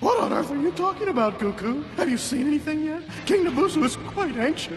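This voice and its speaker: A put-on character voice is heard over loud background noise. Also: fairly quick pace. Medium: fan dub. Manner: stammering, servile.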